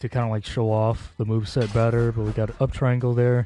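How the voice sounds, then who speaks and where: Music plays in the background. A man talks over it at a medium pitch. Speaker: video game streamer. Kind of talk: gameplay commentary.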